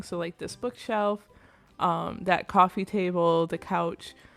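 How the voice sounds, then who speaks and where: With music in the background, a woman speaks at a very slow pace. Her intonation stays fairly even. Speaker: gaming video creator. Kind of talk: casual game commentary voiceover.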